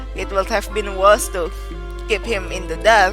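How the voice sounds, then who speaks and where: A woman speaks with music in the background. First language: non-native English speaker. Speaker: let's play reader. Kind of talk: visual novel read-aloud.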